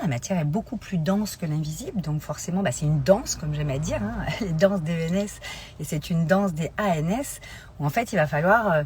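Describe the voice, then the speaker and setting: Over noticeable background noise, a woman with a fairly low voice talks fairly quickly with lively intonation. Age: 40s. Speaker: life coach. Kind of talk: live stream talk. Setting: Instagram live. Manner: hesitant, many fillers.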